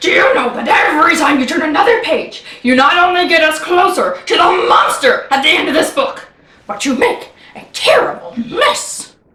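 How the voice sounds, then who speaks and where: A put-on character voice with very wide pitch swings, a moderate pace and a slight echo. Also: woman, extremely high pitch for a woman. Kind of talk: children's read-aloud. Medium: read story. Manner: fussy, excitable, dramatic.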